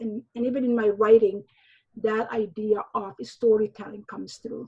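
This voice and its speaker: A woman speaks with a Somali accent at a moderate pace, her voice fairly high, somewhat breathy and fairly even in intonation. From Somalia. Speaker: novelist and high school teacher. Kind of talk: interview conversation. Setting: remote recording from home. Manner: halting.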